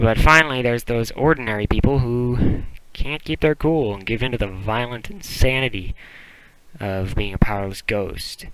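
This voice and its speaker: A man with a plain, everyday voice talks at a moderate pace in a medium pitch, with ordinary pitch variation. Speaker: podcast segment contributor. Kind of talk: scripted podcast segment.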